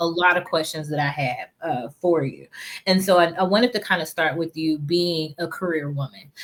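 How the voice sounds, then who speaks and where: Moderate pacing, a normal speaking voice, and pitch that shifts in an ordinary way. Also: woman, fairly low pitch for a woman. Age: 40s. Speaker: podcast host. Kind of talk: casual interview.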